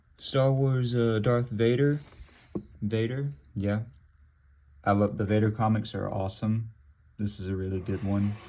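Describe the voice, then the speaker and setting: Dark, mellow tone at a moderate pace, fairly even intonation and long, frequent pauses. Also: man, fairly low pitch for a man. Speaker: gaming youtuber. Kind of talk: casual show-and-tell vlog.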